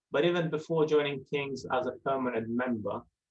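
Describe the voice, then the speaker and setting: This man has an Italian accent, a medium pitch and fairly even intonation. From southern Italy. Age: young. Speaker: residential centre manager. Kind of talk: interview.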